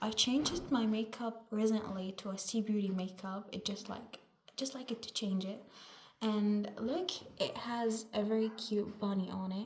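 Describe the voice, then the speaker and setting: A woman talks at a fairly high pitch with fairly even intonation. Noticeable background noise can be heard. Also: moderate pace. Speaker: vlogger. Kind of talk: casual vlog, makeup tutorial. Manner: loud. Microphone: no microphone, camera mic.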